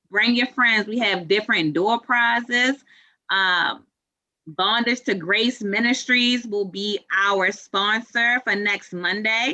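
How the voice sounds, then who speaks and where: Against a quiet background, a woman talks very slowly in a fairly high pitch, her tone bright and sharp and her loudness very even. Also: ordinary pitch variation. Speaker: club president. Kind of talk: club meeting closing remarks. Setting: video call.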